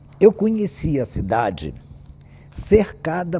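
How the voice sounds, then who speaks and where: At a very slow pace, a man with a fairly high pitch lets his voice swing very widely in pitch. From Brazil, Paraty (Rio de Janeiro state). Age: 80s+. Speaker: historian. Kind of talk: public talk. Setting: cinema hall with audience.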